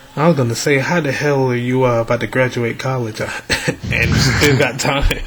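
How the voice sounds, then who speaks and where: Noticeable background noise sits behind a man speaking at a medium pitch. His pace is moderate and his intonation fairly even. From Atlanta. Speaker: podcast host. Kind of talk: casual interview.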